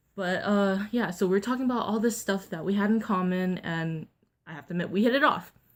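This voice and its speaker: A woman's unremarkable speaking voice at a medium pitch with ordinary pitch variation, on a very clean recording with a silent background. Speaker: vlogger. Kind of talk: storytime vlog. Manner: casual, filler-heavy.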